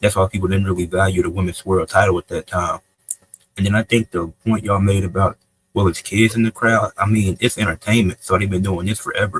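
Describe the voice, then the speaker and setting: Somewhat breathy and fairly low, a man's voice is captured dry and close with no echo. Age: young. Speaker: wrestling debate judge. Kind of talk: casual debate commentary.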